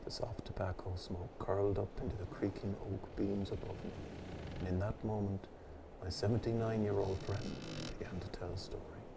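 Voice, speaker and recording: A man with an Irish accent, fairly low-pitched, flat and monotone, calm and relaxed at a moderate pace, over noticeable background noise. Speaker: pipe-smoking storyteller. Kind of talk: calm story narration. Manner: calm, relaxed.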